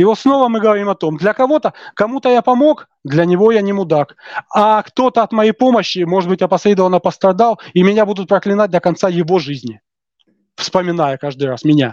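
A man's high, lively voice at a fairly quick pace, dry and close with no echo. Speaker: podcast guest, self-styled philosophical humorist. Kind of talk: philosophical discussion. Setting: video call.

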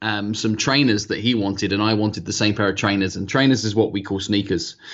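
Fairly low in pitch, a man talks with a British accent. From UK. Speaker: sales trainer and author. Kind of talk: interview.

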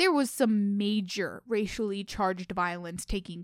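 A woman with an American accent has an unremarkable speaking voice of medium pitch, talking at a moderate pace with ordinary pitch variation on a very clean recording with a silent background. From Oklahoma. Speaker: podcast co-host. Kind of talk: scripted podcast discussion.

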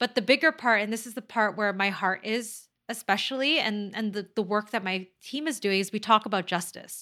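A woman in a Canadian accent, fairly high-pitched with a bright, sharp tone, ordinary pitch variation, a moderate pace and hardly any pauses, on a very clean recording with a silent background. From Toronto, Canada. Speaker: mental health advocate and podcast host. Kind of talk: interview. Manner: halting.

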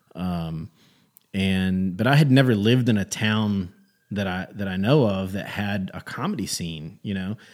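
In a very clean recording with a silent background, a man with an unremarkable speaking voice and a fairly low pitch talks at a fairly slow pace with ordinary pitch variation. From North Carolina, Gastonia. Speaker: comedian. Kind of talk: casual chat.

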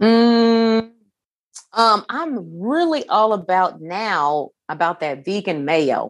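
A woman's medium-pitched voice at a very slow pace, with very wide pitch swings. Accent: American. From Indiana, US Midwest. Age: 30s. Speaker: podcast host and run coach. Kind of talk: casual chat.

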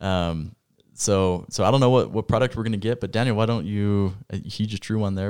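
The speaker has a plain, everyday voice and fairly even intonation. Everything is very clean, with a silent background. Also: man. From Idaho (Rexburg). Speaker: podcast co-host. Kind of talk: casual chat. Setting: studio in Rexburg.

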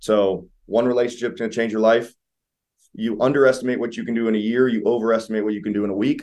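A man's plain, everyday voice, fairly low-pitched, with an American accent and fairly even intonation. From Ohio, Columbus. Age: 20s. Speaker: real estate investor and home inspector. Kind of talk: interview. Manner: casual, many fillers.

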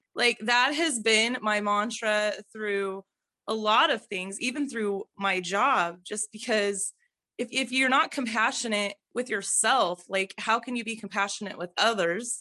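In a quiet background with a dry, close sound and no echo, a woman speaks at a fairly slow pace, her fairly high pitch carrying a bright, sharp tone and ordinary pitch variation. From Idaho. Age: 40s. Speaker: online health community member. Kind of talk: casual chat.

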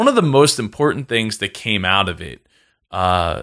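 Very cleanly recorded against a silent background, a man with a Philadelphia accent speaks at a fairly slow pace and medium pitch in a bright, sharp tone. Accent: Philadelphia-area American. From South Jersey, US. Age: 20s. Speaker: entrepreneur and podcaster. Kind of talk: casual interview.

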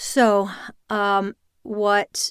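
A woman's medium-pitched voice with an American accent, dry and close with no echo, on a very clean recording with a silent background. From US South. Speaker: voice and speech coach. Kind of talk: interview conversation.

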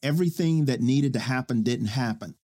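A man's dark, mellow tone with an American accent. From Oklahoma City. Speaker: charter school leader. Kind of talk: casual interview.

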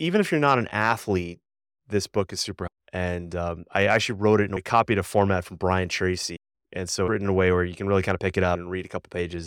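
With a very deep, low pitch and fairly even intonation, a man talks at a very fast pace in a dry, close sound with no echo. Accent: American. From Boston area, Massachusetts. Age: 50s. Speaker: former Olympic athlete and coach. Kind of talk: casual interview.

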